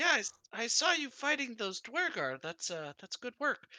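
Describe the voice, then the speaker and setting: Putting on a character voice, a man speaks at an extremely high pitch with very wide pitch swings. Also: moderate pace. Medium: actual play. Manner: nervous, evasive.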